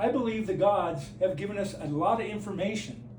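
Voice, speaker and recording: A man's high voice with lively intonation, amid audible room echo and noticeable background noise. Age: 60s. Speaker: flat earth video maker. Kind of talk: direct-to-camera monologue. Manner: halting.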